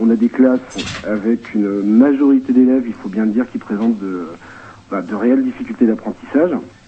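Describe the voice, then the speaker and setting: Fairly quick speech from a man, medium in pitch and ordinary in pitch variation. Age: 30s. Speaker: vocational high school teacher. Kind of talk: phone testimony on radio. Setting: phone call.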